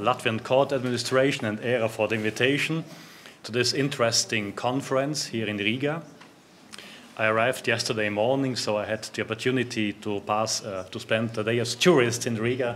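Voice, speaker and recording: A man's medium-pitched voice with a German accent, at a moderate pace, with fairly even intonation. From South Tyrol, northern Italy (German-speaking). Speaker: judge. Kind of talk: conference talk. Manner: halting, many fillers.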